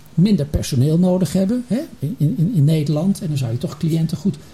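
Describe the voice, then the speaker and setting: A man's fairly high, fairly quick voice with lively intonation over noticeable background noise. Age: 60s. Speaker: retired healthcare executive. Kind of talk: panel discussion. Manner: halting.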